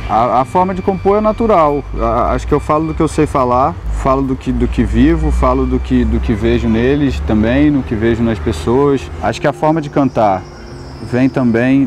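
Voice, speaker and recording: Music plays in the background as the man talks at a fairly slow pace. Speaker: singer-songwriter. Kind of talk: interview. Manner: soft-spoken.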